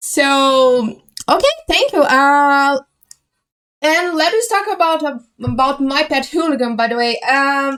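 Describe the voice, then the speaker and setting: A woman speaks with a Brazilian accent. Her pitch is high and her pace fairly slow. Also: ordinary pitch variation. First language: Portuguese. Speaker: community interviewer. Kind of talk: casual interview.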